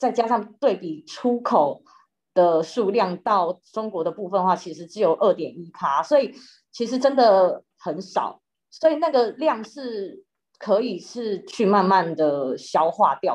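A woman talks at a fairly slow pace, with very wide pitch swings and big swings in loudness, over a quiet background. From Taiwan. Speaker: news reporter. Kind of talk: interview explanation. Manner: halting with fillers. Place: home room. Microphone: webcam.

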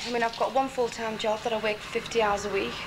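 A woman speaks over loud background noise. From Liverpool. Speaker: airport ground hostess. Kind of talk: documentary interview. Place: shop. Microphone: old recording.

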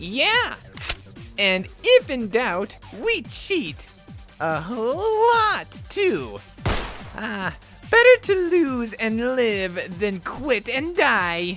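A cartoonish character voice at a very slow pace, with big pitch swings, a fairly bright tone and faint music in the background

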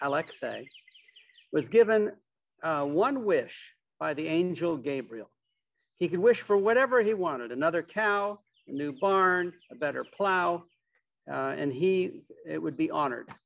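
A man speaking at a fairly slow pace, with long, frequent pauses. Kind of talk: storytelling talk. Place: garden. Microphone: video call.

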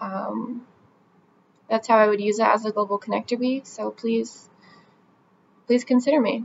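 Over light background noise, a woman with an American accent speaks at a fairly slow pace in a fairly high pitch. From US Northeast (New Jersey). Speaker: vlogger applying for a brand ambassador role. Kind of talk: application video monologue. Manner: casual with frequent fillers. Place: home room. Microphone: webcam.

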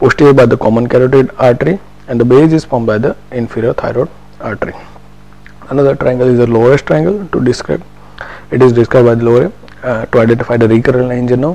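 Against noticeable background noise, a man with a medium-pitched voice talks very fast, with ordinary pitch variation and long, frequent pauses. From India, Gujarat. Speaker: doctor. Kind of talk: lecture.

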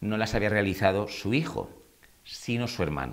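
Audible room echo and ordinary pitch variation. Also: man. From Murcia, Spain. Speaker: celebrity news commentator. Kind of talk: casual chat.

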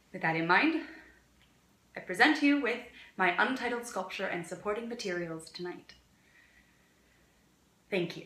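A woman talks at a moderate pace with big swings in loudness and long, frequent pauses, with audible room echo. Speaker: actor performing monologue. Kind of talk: dramatic monologue. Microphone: phone near.

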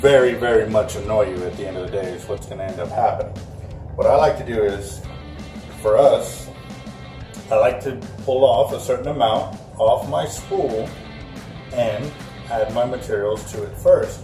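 A man speaks at a moderate pace, leaving long, frequent pauses. His loudness swings a lot, and music is clearly heard in the background. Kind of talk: tutorial. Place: shop.

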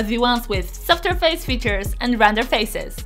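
Over faint background music, a woman with a Polish accent speaks at a moderate pace in a high-pitched voice with an upbeat tone. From Poland. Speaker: YouTuber. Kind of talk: product review to camera. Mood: cheerful, enthusiastic. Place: home room. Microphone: studio mic.

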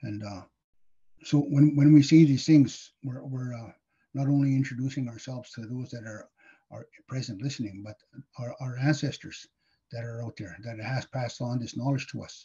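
A man with a dark, mellow, somewhat breathy voice, fairly even intonation, big swings in loudness and long, frequent pauses against a quiet background. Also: medium pitch for a man, moderate pace. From northern Manitoba, Cree First Nation. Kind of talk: educational talk. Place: home room. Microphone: webcam.

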